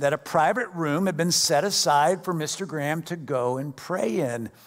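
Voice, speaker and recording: An ordinary speaking voice from a man, fairly high in pitch, with ordinary pitch variation and a moderate pace. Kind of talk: fervent congregational prayer led from the pulpit. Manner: earnest, reverent, heartfelt.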